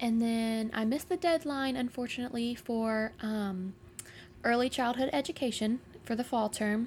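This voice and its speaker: A plain, everyday voice from a woman, fairly high in pitch, with ordinary pitch variation and very even loudness. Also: moderate pace. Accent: American. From Jacksonville, Florida. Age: 20s. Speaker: podcast guest. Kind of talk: casual chat.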